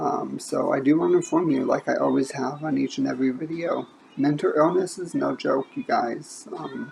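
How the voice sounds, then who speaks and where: With noticeable background noise behind her, a woman with an American accent talks with hardly any pauses. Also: moderate pace. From Indiana. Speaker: book vlogger. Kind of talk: casual monologue. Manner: halting, stumbles over words.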